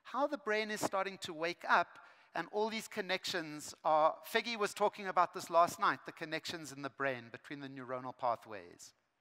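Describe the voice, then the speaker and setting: A man speaks in a raised, projected voice with a bright, sharp tone and lively intonation at a moderate pace against a quiet background. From South Africa. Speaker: education speaker; speaker. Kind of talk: conference keynote. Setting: stage with large audience. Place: stage. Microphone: headset.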